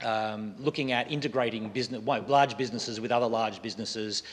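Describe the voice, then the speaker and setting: A man with an Australian accent talks at a fairly quick pace. His pitch is medium and his intonation fairly even. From Western Australia, Perth. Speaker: software foundation president and lecturer. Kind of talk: lecture. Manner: halting, frequent fillers.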